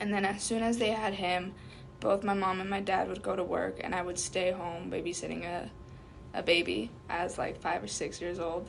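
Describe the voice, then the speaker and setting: A woman speaks at a moderate pace with a medium pitch, vocal fry and ordinary pitch variation, and the room echo is audible. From US (came as small child). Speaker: undocumented immigrant interviewee. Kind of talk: interview. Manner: hesitant, many fillers.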